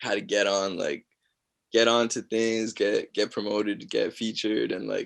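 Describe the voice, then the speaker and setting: This is a man speaking. He talks with a Toronto accent. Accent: Canadian (Toronto area). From Mississauga, Ontario, Canada. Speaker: singer. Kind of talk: casual interview. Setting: video call.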